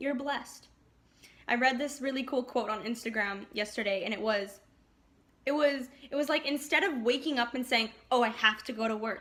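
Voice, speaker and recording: Animated and bright, a woman's high voice has a sharp tone. She speaks at a moderate pace with ordinary pitch variation. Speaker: astrology youtuber. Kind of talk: casual vlog forecast.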